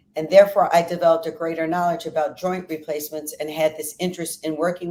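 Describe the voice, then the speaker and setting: In an American accent, a woman speaks with a very deep, low pitch, a dark, mellow tone and fairly even intonation. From US Northeast (Philadelphia). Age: 60s. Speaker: fitness trainer. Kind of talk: interview.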